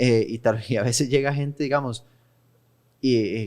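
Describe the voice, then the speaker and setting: In a Costa Rican accent, a man speaks at a medium pitch with ordinary pitch variation. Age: 30s. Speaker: podcast host. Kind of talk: casual interview. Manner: halting.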